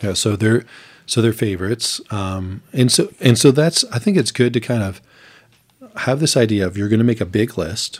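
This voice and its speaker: On a very clean recording with a silent background, a man speaks at a medium pitch and moderate pace, somewhat breathy, with ordinary pitch variation. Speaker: podcast co-host. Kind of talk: podcast discussion on marriage.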